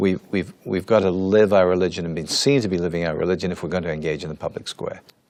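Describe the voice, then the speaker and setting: A man with a very deep, low pitch speaks in an English accent with ordinary pitch variation. He goes very fast, with hardly any pauses. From England. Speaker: church spokesman. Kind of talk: interview.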